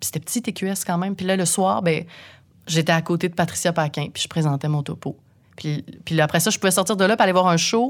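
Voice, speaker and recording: In a very clean recording with a silent background, a woman with an unremarkable speaking voice talks fairly quickly, her fairly low pitch showing ordinary variation. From Quebec, Saint-Eustache. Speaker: radio host. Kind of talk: casual interview.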